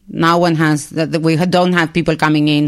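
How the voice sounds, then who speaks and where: Against noticeable background noise, a woman speaks with monotone, flat intonation. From Argentina. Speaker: rabbi and human rights activist. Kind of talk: podcast interview.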